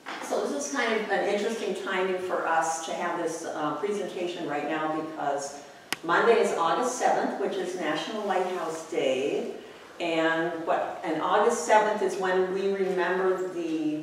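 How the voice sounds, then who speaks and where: Strong room echo and light background noise surround a woman's voice. She talks at a fairly slow pace with ordinary pitch variation. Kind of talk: lecture. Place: classroom.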